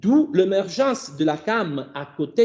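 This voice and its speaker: Against a quiet background, a man with an Italian accent speaks in a high pitch with very wide pitch swings. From Italy. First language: Italian (speaking French). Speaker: philosophy of language professor. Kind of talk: academic seminar talk. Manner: halting, with self-corrections.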